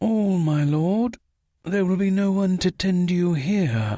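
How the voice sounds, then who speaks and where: Middle pitch and a fairly slow pace in a put-on character voice. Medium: read story. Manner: deferential, formal.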